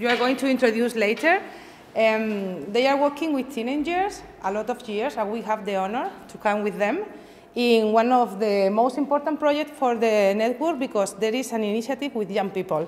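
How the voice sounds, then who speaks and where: A woman's unremarkable speaking voice, fairly high in pitch, over light background noise. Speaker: event moderator for a cultural network. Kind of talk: event introduction. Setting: seminar with live audience. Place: classroom. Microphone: camera far.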